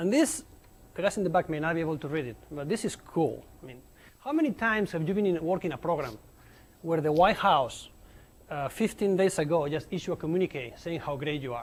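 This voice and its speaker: Speaking at a fairly quick pace, a man with a Spanish accent uses a high pitch and lively intonation. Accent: noticeable Spanish accent in English. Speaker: nuclear engineer giving a colloquium talk. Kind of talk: lecture. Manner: animated, informal with many fillers.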